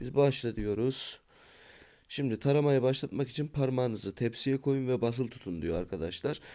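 On a very clean recording with a silent background, a man speaks at a moderate pace in a medium pitch, his tone dark and mellow with ordinary pitch variation. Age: 20s. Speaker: YouTuber reviewing apps. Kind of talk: app review tutorial.

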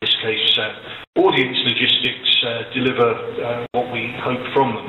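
A man talks amid light background noise, with room echo audible. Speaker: remote webinar speaker. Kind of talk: conference keynote remarks. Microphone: video call.

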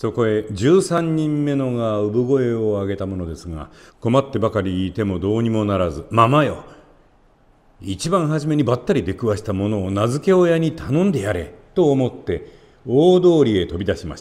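On a very clean recording with a silent background, a man speaks at a moderate pace. His pitch swings very widely. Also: medium pitch for a man. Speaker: actor, narrator. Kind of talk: fairy tale reading for parents and children.

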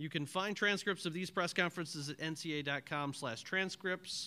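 Bright and sharp in tone, a man's voice shows ordinary pitch variation. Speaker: press conference moderator. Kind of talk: formal announcements. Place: hall.

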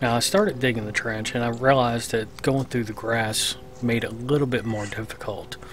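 A moderate pace, dry sound with no echo, and noticeable background noise. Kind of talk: casual tutorial narration.

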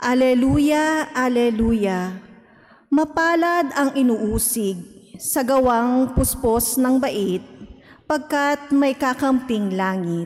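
Speaking very slowly, a woman uses a high pitch and lively intonation. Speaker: lector. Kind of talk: scripture reading. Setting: church. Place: church. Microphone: podium.

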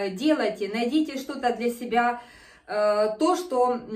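A woman's high-pitched voice with lively intonation and audible room echo. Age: 50s. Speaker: fitness video host; fitness home instructor. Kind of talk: exercise tutorial. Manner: animated. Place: home room. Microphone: camera far.

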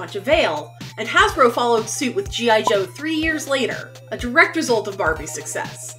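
A woman speaks at a moderate pace. Faint music sits in the background. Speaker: toy vlogger. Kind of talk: scripted commentary on toy history. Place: home room.

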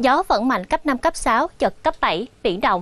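Dry and free of echo, a woman's high-pitched voice moves at a fairly slow pace. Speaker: TV presenter. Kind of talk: weather forecast broadcast. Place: studio. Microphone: lapel.

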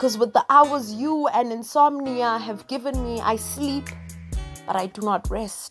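A woman speaks at a fairly slow pace with ordinary pitch variation. Music plays in the background. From South Africa. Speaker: spoken word poet. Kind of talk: spoken word poetry performance. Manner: slow, reflective.

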